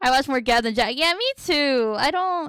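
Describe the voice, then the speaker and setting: Bright and sharp in tone, a woman speaks at a fairly slow pace with a high pitch. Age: 20s. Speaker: vtuber streamer and digital artist. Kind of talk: casual livestream chat while drawing. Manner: chatty, thinking aloud.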